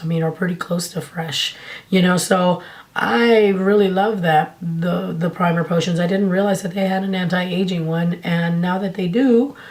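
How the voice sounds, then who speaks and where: The voice moves at a moderate pace with fairly even intonation, over noticeable background noise. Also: woman. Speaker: beauty YouTuber. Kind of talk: casual talk to camera.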